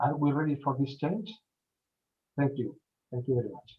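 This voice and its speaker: A man speaks with a Spanish accent in a somewhat breathy voice. His pitch is fairly high, with ordinary pitch variation. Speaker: event speaker. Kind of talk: conference talk. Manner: halting.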